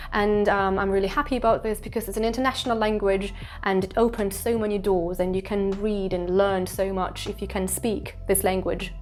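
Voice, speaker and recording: A woman talks with hardly any pauses and fairly even intonation. Music plays behind her. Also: medium pitch for a woman, fairly quick pace. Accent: Russian. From Eastern Siberia, Russia. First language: Russian. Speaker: English teacher. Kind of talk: casual talk to camera.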